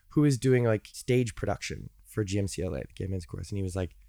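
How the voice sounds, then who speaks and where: On a very clean recording with a silent background, a man with an American accent has an unremarkable speaking voice, a fairly low pitch and ordinary pitch variation. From US Midwest, Chicago. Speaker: singer-songwriter and music educator. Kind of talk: casual interview chat. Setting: studio.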